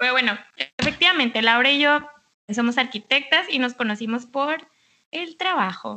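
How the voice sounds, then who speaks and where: A raised, projected voice with a bright, sharp tone, at a moderate pace. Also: woman. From Mexicali, Baja California, Mexico. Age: 20s. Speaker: architect. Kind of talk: casual chat.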